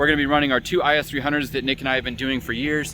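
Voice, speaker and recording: A man talks at a medium pitch. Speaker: drift driver and vlogger. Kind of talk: casual vlog. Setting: outdoors at a race track. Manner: fast; animated.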